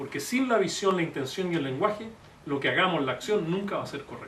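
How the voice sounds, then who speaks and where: Talking at a fairly quick pace, a man with a high pitch makes very wide pitch swings amid audible room echo and noticeable background noise. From Chile. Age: 60s. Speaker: economist and presidential candidate. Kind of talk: public talk.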